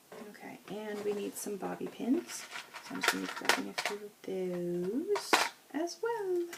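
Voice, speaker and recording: A woman speaks with big swings in loudness. Noticeable background noise is present. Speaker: beauty vlogger. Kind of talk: hair tutorial. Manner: casual, self-correcting.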